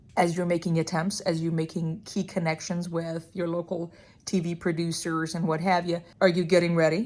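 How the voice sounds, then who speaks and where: A woman with an Iranian accent talks at a moderate pace in a fairly low pitch. Her intonation is monotone and flat, and the recording is very clean with a silent background. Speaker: restaurant owner and podcast host. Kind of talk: casual vlog monologue.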